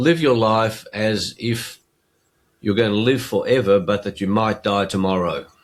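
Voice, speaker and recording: On a very clean recording with a silent background, a man with an Australian accent speaks fairly slowly in a fairly low voice with ordinary pitch variation. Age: 70s. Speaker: interview show host. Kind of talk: casual interview conversation.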